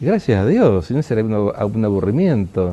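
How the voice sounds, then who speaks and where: A man is speaking. His tone is dark and mellow. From Argentina, Rosario (Santa Fe). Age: 70s. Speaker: archbishop. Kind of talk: interview.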